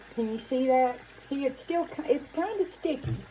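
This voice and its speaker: With a Southern US accent, a woman talks in a high voice and lively intonation. Noticeable background noise sits behind her. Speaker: cooking channel host. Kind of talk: cooking tutorial. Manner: casual, chatty.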